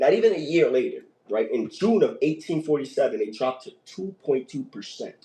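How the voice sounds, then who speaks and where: A man talks at a fairly quick pace in an animated tone. His loudness swings widely. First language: not English. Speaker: podcast host. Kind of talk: casual chat. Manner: halting.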